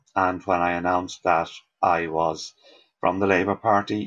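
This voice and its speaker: A man with a Dublin accent speaks with fairly even intonation. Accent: Dublin Irish. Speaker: party canvasser. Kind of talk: interview.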